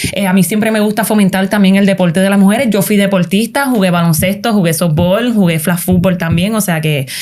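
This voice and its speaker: Someone talks in a Puerto Rican accent with noticeable background noise. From Puerto Rico. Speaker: sports show host. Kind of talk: casual interview.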